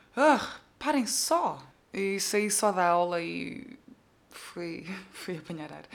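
Against audible room echo, a woman speaks very slowly at medium pitch with lively intonation. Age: 20s. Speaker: podcaster. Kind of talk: casual monologue. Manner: animated.

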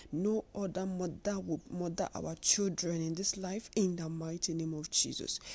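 A woman speaks at a moderate pace in a dark, mellow tone. Her intonation is fairly even, and the background is quiet. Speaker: prayer leader. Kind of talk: fervent intercessory prayer, declaring and pleading aloud. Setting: online prayer platform, audio broadcast. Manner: impassioned, rhythmic and repetitive, urgent; authoritative, declarative.

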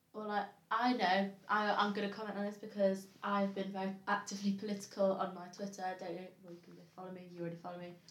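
A woman talks at a very fast clip in a medium pitch, her intonation monotone and flat. Her loudness swings widely, and the recording carries audible room echo and noticeable background noise. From Derbyshire, England. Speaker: political discussion panelist. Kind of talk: casual political debate.

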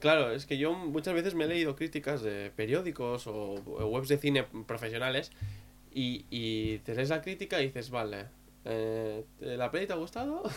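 A man speaks at a moderate pace with a medium pitch and lively intonation. Music plays in the background. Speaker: podcast co-host. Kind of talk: casual chat.

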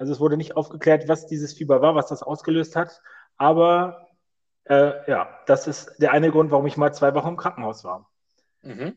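This man's voice is fairly high in pitch. He talks at a moderate pace with fairly even intonation. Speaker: podcast host. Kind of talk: casual chat. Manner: loud.

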